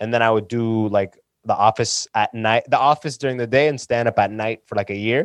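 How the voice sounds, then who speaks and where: A normal speaking voice at a fairly quick pace with fairly even intonation, in a dry, close sound with no echo and a quiet background. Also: man, medium pitch for a man. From London, Ontario, Canada (born in Sudan, moved at six). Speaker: stand-up comedian and podcaster. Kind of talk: casual chat.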